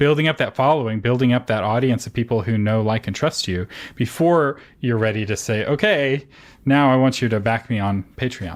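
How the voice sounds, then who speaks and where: A man's medium-pitched voice, a plain, everyday voice, with ordinary pitch variation at a moderate pace, on a very clean recording with a silent background. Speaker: podcast host. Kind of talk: podcast interview.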